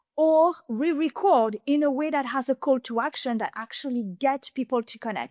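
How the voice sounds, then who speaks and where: A woman speaks with a French accent at a high pitch. Her pace is moderate and her pitch variation ordinary. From France. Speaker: podcast consultant. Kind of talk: interview.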